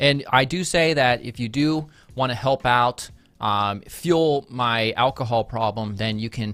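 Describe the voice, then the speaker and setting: A man with a medium-pitched voice speaks in an animated tone while music plays in the background. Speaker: design educator and YouTuber. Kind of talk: live stream design review. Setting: live stream. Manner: fast.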